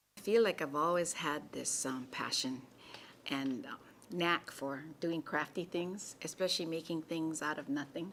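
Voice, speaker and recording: This woman speaks with a Hawaiian accent at a fairly slow pace. Her very deep, low pitch moves with ordinary variation. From Hawaii, Kāne‘ohe. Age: old. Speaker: college student and artist. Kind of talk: interview answer.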